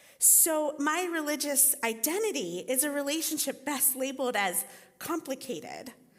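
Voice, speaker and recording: A woman's high-pitched voice with lively intonation at a fairly slow pace, with audible room echo. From Costa Rica. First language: Spanish. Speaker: teaching pastor and writing teacher. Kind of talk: sermon.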